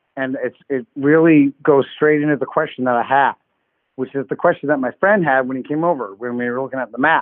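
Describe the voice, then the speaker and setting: At a fairly quick pace, a man with an unremarkable speaking voice talks in a fairly high pitch with fairly even intonation. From Canada. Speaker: caller. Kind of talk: call-in show.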